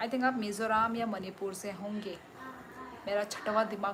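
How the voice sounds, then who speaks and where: A woman with a Tripura accent speaks in a stern tone and a fairly high pitch, with audible room echo and noticeable background noise. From Tripura, northeast India. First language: Kokborok (speaking Hindi). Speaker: live streamer, former teacher. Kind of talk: live stream chat reading viewer comments. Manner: loud; stern-sounding.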